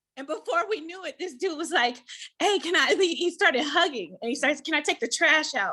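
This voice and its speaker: A woman with an American accent speaks in a raised, projected voice at a moderate pace, her extremely high pitch bright and sharp, with an animated tone and lively intonation. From Antelope Valley, Southern California. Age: 40s. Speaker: pastor's wife and author. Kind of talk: speech at community event. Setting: ribbon cutting event with audience.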